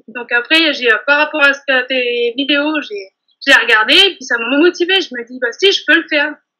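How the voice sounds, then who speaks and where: Raised and projected, a woman's high, bright and sharp voice moves at a fairly slow pace with ordinary pitch variation. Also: quiet background. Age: 30s. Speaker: bakery saleswoman and nail technician trainee; bakery saleswoman. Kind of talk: testimony interview. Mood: warm, enthusiastic. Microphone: video call.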